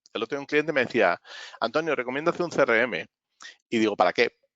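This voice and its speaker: A man at a fairly high pitch with ordinary pitch variation. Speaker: business consultant. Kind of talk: webinar talk. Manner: fast.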